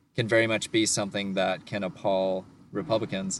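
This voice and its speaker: A man talks in a plain, everyday voice. His pitch is fairly low and his intonation fairly even. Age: 20s. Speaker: podcast co-host. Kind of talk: casual chat.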